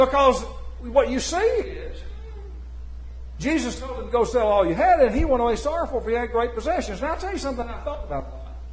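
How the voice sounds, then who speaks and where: The speech comes at a very fast pace with big swings in loudness, audible room echo and noticeable background noise. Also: man. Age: 70s. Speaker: preacher. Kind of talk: sermon.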